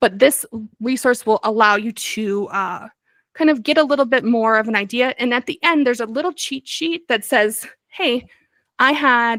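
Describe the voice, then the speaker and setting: On a very clean recording with a silent background and a dry, close sound without echo, a woman speaks at a high pitch with ordinary variation. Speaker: bookkeeper and business advisor. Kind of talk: training presentation. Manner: fast; hesitant fillers.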